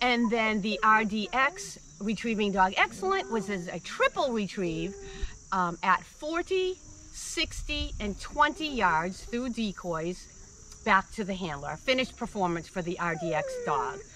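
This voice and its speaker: Very slow speech comes through light background noise, with a dry sound and no echo. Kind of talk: interview answer. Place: waterside. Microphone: camera far.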